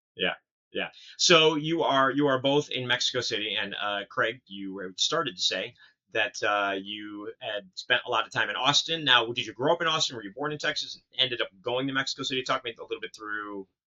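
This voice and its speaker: Speaking fairly quickly with an American accent, a man uses an unremarkable speaking voice at medium pitch with ordinary pitch variation. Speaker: podcast host. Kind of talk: casual interview.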